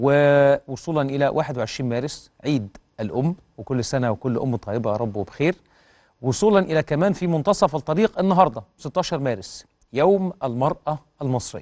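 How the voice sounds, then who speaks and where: Background quiet, a man talks at a fairly slow pace. His intonation is lively. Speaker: TV presenter. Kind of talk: news show presenting. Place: studio. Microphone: lapel.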